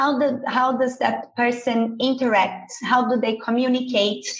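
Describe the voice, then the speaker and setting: A woman with a high voice and a Portuguese accent speaks at a moderate pace. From Brazil. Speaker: business school admissions head. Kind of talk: podcast discussion.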